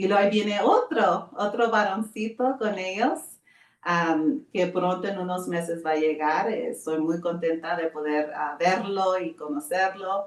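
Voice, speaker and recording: The woman's pitch sits in the middle range, and her pace is very slow. Her pitch moves in an ordinary way. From Arizona, US (Tucson). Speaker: pastor's wife. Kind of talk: interview. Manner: halting, many filler sounds.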